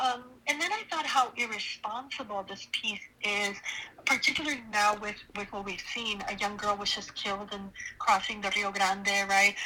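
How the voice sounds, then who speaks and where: Speech with ordinary pitch variation proceeds at a moderate pace, with noticeable background noise present. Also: woman, medium pitch for a woman. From Los Angeles (born in Honduras). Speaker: professor. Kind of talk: interview.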